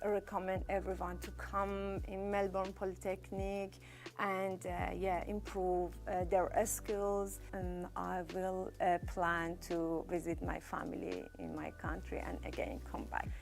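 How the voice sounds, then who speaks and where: A woman talks at a fairly slow pace with audible room echo. Music plays in the background. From Iran. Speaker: award-winning student. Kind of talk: testimony. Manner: halting.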